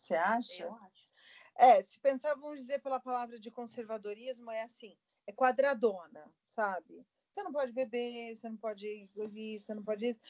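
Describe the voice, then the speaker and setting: A woman's fairly high voice, an ordinary speaking voice, at a moderate pace with ordinary pitch variation and big swings in loudness. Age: 40s. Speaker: aeronautical engineer and catechist. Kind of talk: casual interview chat.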